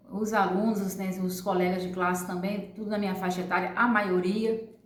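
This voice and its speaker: Noticeable background noise and audible room echo around a woman's moderate-paced speech. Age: 40s. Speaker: adult education former student. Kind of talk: testimony.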